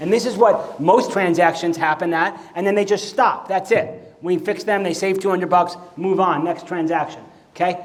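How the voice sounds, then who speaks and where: With an American accent, a man speaks in a high pitch. The audio carries audible room echo and noticeable background noise. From New York. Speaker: mortgage business coach. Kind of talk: conference presentation. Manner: fast; animated.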